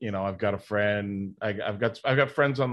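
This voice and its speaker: The man has a normal speaking voice at a fairly low pitch. He speaks at a moderate pace with ordinary pitch variation. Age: 50s. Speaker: pro wrestler and comic book writer. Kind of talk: casual interview chat.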